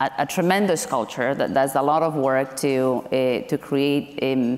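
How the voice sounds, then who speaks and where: Amid noticeable background noise, a woman with a very deep, low voice speaks at a fairly slow pace, her loudness very even and her intonation fairly even. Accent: non-native. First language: not English. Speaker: tech company director. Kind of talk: panel discussion. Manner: hesitant, many fillers.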